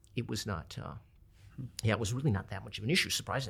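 Talking very fast with an American accent, a man shows very wide pitch swings and vocal fry. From Minneapolis, Minnesota. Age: 50s. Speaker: restaurant owner. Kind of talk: casual interview chat. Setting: studio. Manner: halting, many fillers.

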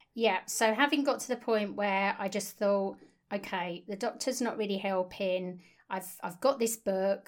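In a very clean recording with a silent background, a woman of medium pitch speaks at a moderate pace in an ordinary speaking voice. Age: 50s. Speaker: nutritional therapist, podcast co-host. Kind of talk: casual chat, personal story.

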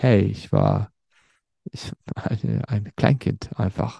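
A man with a Turkish accent, recorded dry and close with no echo. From Germany, Sauerland region (Werdohl/Lüdenscheid). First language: Turkish (speaking German). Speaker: podcaster telling his life story. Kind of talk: personal storytelling monologue. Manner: hesitant, many fillers and repetitions.

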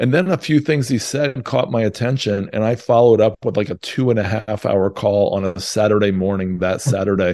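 In a plain, everyday voice, a man speaks at a fairly quick pace with hardly any pauses, a fairly low pitch and ordinary pitch variation. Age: 50s. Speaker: real estate investor and author. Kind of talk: interview.

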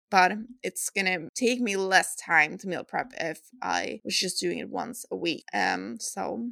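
Speaking at a fairly slow pace with a Swedish accent, a woman sounds dry and close with no echo. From Sweden. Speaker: fitness coach and podcast host. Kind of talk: solo podcast advice talk.

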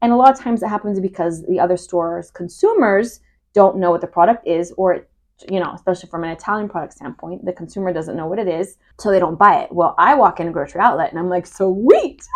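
A woman with an American accent at a very fast pace, with big swings in loudness. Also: medium pitch for a woman, ordinary pitch variation, quiet background. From Northern California, Humboldt County. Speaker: podcast co-host, mother. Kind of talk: casual chat.

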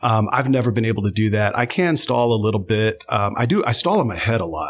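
Here is an unremarkable speaking voice. Its pitch varies in an ordinary way. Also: man. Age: 40s. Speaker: theater instructor. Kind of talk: casual chat.

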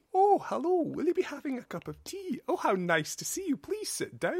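A man performs a put-on character voice at an extremely high pitch. His pace is moderate. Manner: polite, genteel.

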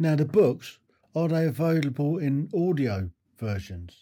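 Speaking with a British accent, a man uses a fairly high pitch and a dark, mellow tone, somewhat breathy, at a very slow pace with very wide pitch swings. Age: 60s. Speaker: podcast host. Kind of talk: interview. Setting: video call.

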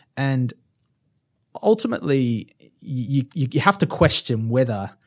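His intonation is lively. This man has a plain, everyday voice. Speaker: finance executive guest. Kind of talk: casual interview conversation.

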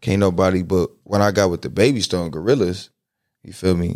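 The recording is very clean, with a silent background. A man with a very deep, low pitch and ordinary pitch variation speaks at a fairly quick pace. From Compton, Los Angeles, California. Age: 20s. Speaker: rapper. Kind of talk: casual chat. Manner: laughs often.

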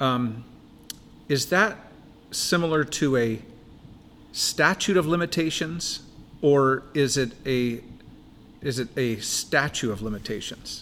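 A man speaks at a very slow pace with ordinary pitch variation. Long pauses come often. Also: fairly high pitch for a man. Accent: American. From Washington state, Buckley. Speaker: pastor. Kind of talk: casual chat.

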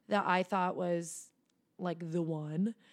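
Using an unremarkable speaking voice, a woman with an American accent speaks at a fairly slow pace on a very clean recording with a silent background. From US, Philadelphia suburbs. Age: 20s. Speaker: entrepreneur. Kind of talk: interview.

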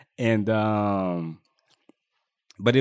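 This man's fairly low voice keeps a fairly even intonation. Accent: American. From Richmond, California (US West Coast). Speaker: refinery contractor, gym member. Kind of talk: interview.

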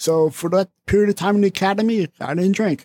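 In a very clean recording with a silent background and a dry, close sound with no echo, a man with a New Jersey accent speaks at a moderate pace and a high pitch. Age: 40s. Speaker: recovering alcoholic, former police officer. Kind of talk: casual chat.

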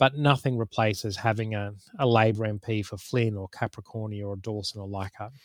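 At a fairly quick pace, a man talks with a fairly low pitch and fairly even intonation. His loudness swings widely. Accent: Australian. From Queensland, Australia. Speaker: political campaigner. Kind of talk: casual political analysis interview.

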